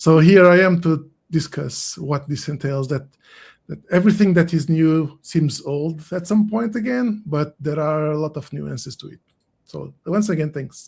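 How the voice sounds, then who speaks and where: Spoken with a Portuguese accent, the voice shows big swings in loudness. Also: man, fairly high pitch for a man, ordinary pitch variation, moderate pace. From Portugal. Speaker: SEO consultant. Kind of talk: casual interview. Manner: halting.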